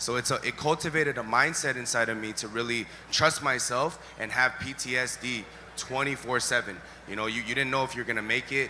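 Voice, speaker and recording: Noticeable background noise sits behind a man who speaks fairly quickly at medium pitch with fairly even intonation. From Los Angeles, US West Coast. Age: 30s. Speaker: ex-gang member giving testimony. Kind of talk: testimony. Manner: relaxed, chill.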